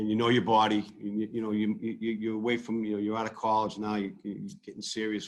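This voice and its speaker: A man with a Boston accent talks at a moderate pace. His intonation stays flat and monotone. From Massachusetts, Brockton. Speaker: sports fan and social media personality. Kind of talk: casual chat. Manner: halting, many repetitions.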